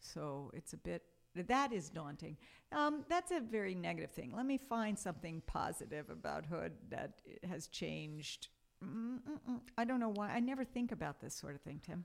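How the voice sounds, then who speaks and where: Speaking at a moderate pace with an American accent, a woman uses a medium pitch with very wide pitch swings. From New York, Brooklyn and Long Island. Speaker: English professor. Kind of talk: casual interview.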